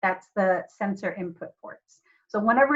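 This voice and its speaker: Somewhat breathy, a woman talks at a fairly slow pace. Her pitch is fairly high, with ordinary variation. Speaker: robotics teacher. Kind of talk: online class lecture. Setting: video call.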